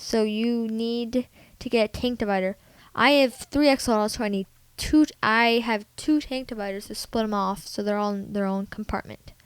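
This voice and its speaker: Speaking at a moderate pace with fairly even intonation, a woman with a fairly high pitch is heard on a very clean recording with a silent background. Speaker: pet tutorial vlogger. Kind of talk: informal tutorial. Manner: halting, mumbling.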